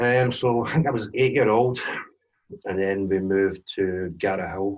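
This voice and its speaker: A man with a Glaswegian accent talks at a moderate pace in a fairly low pitch. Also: ordinary pitch variation. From Scotland, Glasgow east end. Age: 40s. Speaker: DJ and drone business owner sharing life story. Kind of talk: personal testimony in interview.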